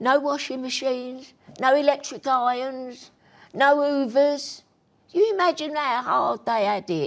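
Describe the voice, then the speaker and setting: In a Cockney accent, a woman speaks at a high pitch and fairly slow pace with ordinary pitch variation. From East London (Bethnal Green). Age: 80s+. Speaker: grandmother and show host. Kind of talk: interview about her life. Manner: animated.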